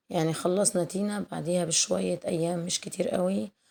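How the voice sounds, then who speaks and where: A woman with an Egyptian accent speaks at a moderate pace in a fairly low pitch. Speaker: cooking youtuber. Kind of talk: casual chat. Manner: warm, chatty.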